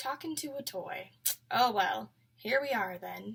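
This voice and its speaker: A soft-spoken woman uses a put-on character voice with a fairly high pitch. She speaks at a fairly slow pace. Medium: read story. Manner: soft, low, folksy.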